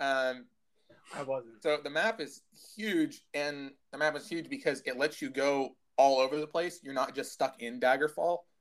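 In a normal speaking voice with an American accent, a man speaks at a moderate pace with a fairly high pitch and ordinary pitch variation. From United States. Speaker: podcast co-host. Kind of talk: casual chat. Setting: at home.

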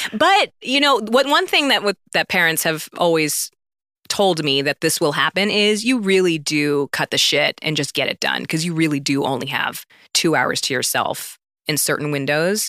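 A woman with a fairly low pitch and a bright, sharp tone speaks at a moderate pace with lively intonation. The recording is very clean, with a silent background. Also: dry, close sound with no echo. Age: 30s. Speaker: actress. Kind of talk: casual chat.

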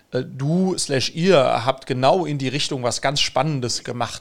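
Speaking fairly slowly, a man uses an ordinary speaking voice at medium pitch with ordinary pitch variation. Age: 40s. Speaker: podcast host and entrepreneur. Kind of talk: podcast interview.

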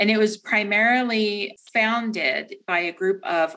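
With an American accent, a woman talks at a fairly slow pace in a plain, everyday voice at medium pitch. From Delaware, US. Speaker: credit card product manager. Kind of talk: interview. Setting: office.

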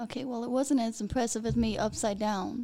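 Her tone is dark and mellow, with vocal fry and a fairly high pitch. The woman keeps a moderate pace. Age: 20s. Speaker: adult film performer and creative director. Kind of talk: casual chat. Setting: studio.

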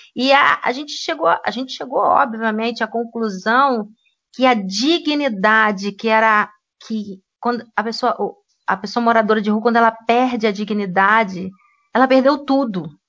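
A normal speaking voice with ordinary pitch variation. The pace is fairly slow. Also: woman, fairly high pitch for a woman. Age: 50s. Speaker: history teacher. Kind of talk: casual discussion podcast.

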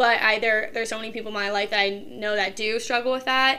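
A woman with an American accent talks at a very fast pace, her fairly high voice flat and monotone. Noticeable background noise runs underneath. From Ohio, Kent area. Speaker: college student. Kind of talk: casual chat.

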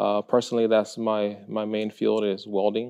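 A man speaks fairly slowly in a Spanish accent. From Mexico, Guadalajara; moved to Texas at age seven. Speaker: high school art teacher. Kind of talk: interview. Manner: hesitant, many fillers.

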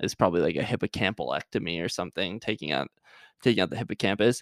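A man speaks with ordinary pitch variation. The recording is very clean, with a silent background and a dry, close sound with no echo. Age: 20s. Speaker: podcast host, aspiring medical student. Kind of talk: casual solo podcast monologue; scripted educational talk. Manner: hesitant, many fillers.

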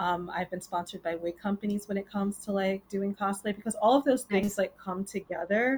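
An ordinary speaking voice with an American accent carries fairly even intonation. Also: woman, medium pitch for a woman. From New York City, Queens. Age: 20s. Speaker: cosplayer and costume maker. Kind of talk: casual interview chat.

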